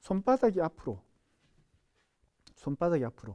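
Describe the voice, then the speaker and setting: A man with a Gyeongsang accent speaks in a dark, mellow tone, recorded with a dry, close sound and no echo. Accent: Gyeongsang dialect pronunciation. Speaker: sign language instructor. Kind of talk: lecture. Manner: repetitive, drilling sounds aloud.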